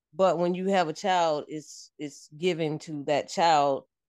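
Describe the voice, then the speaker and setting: Fairly low in pitch, a woman with an American accent speaks in an unremarkable speaking voice with ordinary pitch variation. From upstate New York. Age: 50s. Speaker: military veteran and mother. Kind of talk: casual chat.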